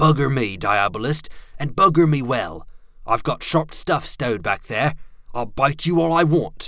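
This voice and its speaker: A man's put-on character voice, gruff and growling, fairly high-pitched, at a moderate pace. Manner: growling, gruff.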